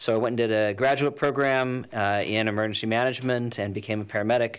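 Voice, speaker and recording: A man with an American accent talks at a very fast pace in a medium pitch and a monotone, flat delivery. The recording is very clean, with a silent background. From US West Coast, Los Angeles. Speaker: nonprofit health executive. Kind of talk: radio interview. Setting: studio.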